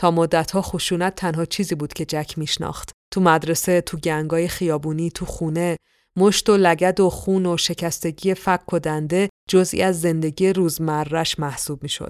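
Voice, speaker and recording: On a very clean recording with a silent background and a dry, close sound with no echo, a woman with a fairly low pitch speaks at a moderate pace in monotone, flat intonation. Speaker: podcast host and storyteller. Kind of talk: scripted narration.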